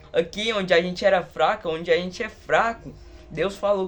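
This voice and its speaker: A man at a high pitch and fairly slow pace, with ordinary pitch variation and music in the background. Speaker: lay preacher. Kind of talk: sermon. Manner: fervent.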